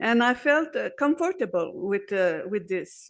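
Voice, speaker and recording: Here a woman speaks with a Quebec accent at a high pitch. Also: quiet background. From Quebec, Montreal. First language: French. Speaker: activist speaker. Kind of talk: conference speech. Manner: halting; slow.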